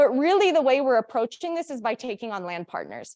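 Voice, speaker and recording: Lively intonation runs through this woman's speech. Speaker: conference presenter on agroforestry. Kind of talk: conference presentation. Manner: fast.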